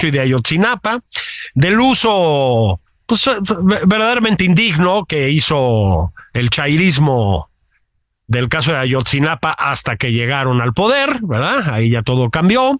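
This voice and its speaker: A man with a Mexican accent speaks at a very slow pace and a fairly high pitch, with very wide pitch swings. The recording is very clean, with a silent background and a dry, close sound with no echo. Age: 50s. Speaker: political commentator, podcast co-host. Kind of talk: casual political chat.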